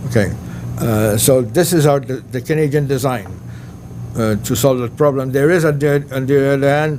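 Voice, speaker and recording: Noticeable background noise and audible room echo around a man talking at a moderate speed. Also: medium pitch for a man, ordinary pitch variation. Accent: French. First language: French. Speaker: astronomer. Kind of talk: lecture. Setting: banquet hall with audience. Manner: hesitant, many fillers.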